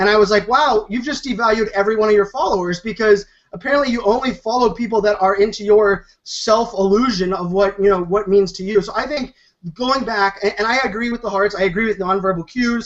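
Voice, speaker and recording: A man with a high pitch talks at a fairly quick pace in an animated tone. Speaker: social media panelist. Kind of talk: panel debate. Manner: fast.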